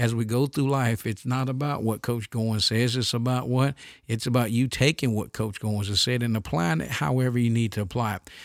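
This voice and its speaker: In an animated tone, a man speaks at a fairly quick pace with hardly any pauses, at a medium pitch with ordinary pitch variation. The recording is very clean, with a silent background. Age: 50s. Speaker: basketball coach and podcast host. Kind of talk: casual monologue.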